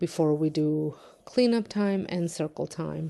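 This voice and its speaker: A woman speaks with a non-native accent at a very deep, low pitch. Her dark, mellow tone comes at a fairly slow pace against a quiet background. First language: not English. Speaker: home daycare provider and vlogger. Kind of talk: vlog narration. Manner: casual, with many fillers.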